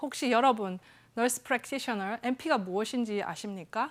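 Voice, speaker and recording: A woman talks in a Busan accent, with a fairly high pitch and lively intonation. The recording is very clean, with a silent background. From South Korea, Busan (Yeongdo). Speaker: psychiatric nurse practitioner, talk speaker. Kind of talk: stage talk.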